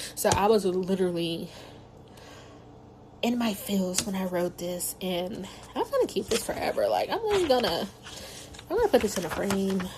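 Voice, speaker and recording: A woman's medium-pitched voice with ordinary pitch variation, moderate pace and long, frequent pauses, amid noticeable background noise. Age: 30s. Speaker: podcaster, new doctoral graduate. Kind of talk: personal audio journal, casual reflection. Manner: casual, filler-heavy.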